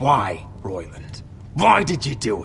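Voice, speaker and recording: A man's put-on character voice at medium pitch and a fairly slow pace, over clear background noise. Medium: video game.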